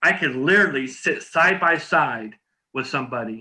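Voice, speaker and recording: Speaking at a fairly slow pace, a man sounds animated, his intonation lively. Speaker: financial advisor. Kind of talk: sales pitch. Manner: repetitive, halting.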